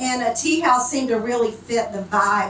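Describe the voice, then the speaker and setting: A woman with an American accent speaks at fairly high pitch and moderate pace, with ordinary pitch variation. Audible room echo and noticeable background noise surround her. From Texas. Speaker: nonprofit tea house founder. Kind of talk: speech at a meeting. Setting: annual meeting with audience. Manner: many fillers (uh, um).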